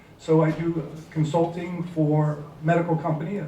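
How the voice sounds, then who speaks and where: Over noticeable background noise and audible room echo, a man speaks at a high pitch. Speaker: business consultant. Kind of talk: panel talk.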